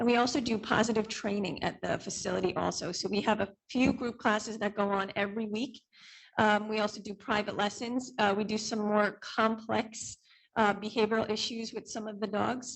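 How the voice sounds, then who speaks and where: A woman talks in a fairly high pitch. Her intonation is monotone and flat. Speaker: dog trainer and business owner. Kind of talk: testimony at public hearing. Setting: township board meeting. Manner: hesitant, many fillers.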